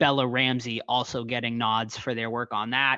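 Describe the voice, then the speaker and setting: Against a quiet background, a man speaks at a medium pitch with a bright, sharp tone. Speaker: podcast host, horror news. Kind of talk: casual podcast news segment. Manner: animated.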